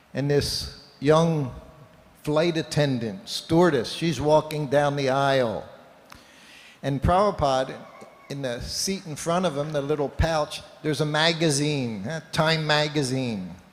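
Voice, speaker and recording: A man with a fairly high pitch speaks fairly slowly, with typical pitch movement and noticeable noise in the background. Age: 70s. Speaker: Hare Krishna monk or speaker. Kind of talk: religious talk with storytelling.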